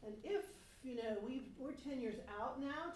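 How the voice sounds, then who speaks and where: A woman talks at a moderate speed, and the room echo is audible. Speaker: resident giving public comment. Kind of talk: public comment at a town board meeting. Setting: town board meeting room, seated at table mic. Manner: loud.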